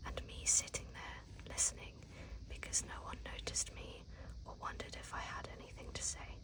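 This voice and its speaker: A whisper comes through. Behind it there is noticeable background noise. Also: moderate pace. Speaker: ASMR creator. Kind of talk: read story. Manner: whispered.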